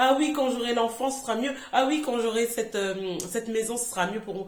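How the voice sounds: A woman's hoarse, put-on character voice, fairly high in pitch with ordinary variation, at a fairly quick pace over light background noise.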